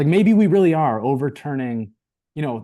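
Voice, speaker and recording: A man talks in a dark, mellow tone. His intonation is lively. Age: 40s. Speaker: podcast guest. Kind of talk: casual chat. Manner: halting.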